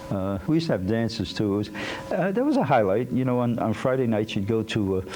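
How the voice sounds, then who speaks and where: Speaking very fast with an American accent, a man keeps a medium pitch, ordinary pitch variation and very even loudness over noticeable background noise. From Boston, West End. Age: 60s. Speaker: community newsletter host. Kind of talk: reminiscing monologue. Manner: halting, many fillers.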